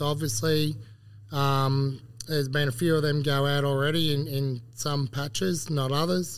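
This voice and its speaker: Speaking with an Australian accent, a man uses a fairly high pitch at a fairly slow pace. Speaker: agronomist. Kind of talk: casual chat. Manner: jokey, laughs often.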